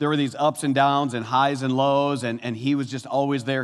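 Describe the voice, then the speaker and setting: In a very clean recording with a silent background, a man speaks at a fairly quick pace in a medium pitch with an animated tone. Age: 50s. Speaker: pastor. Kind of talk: sermon.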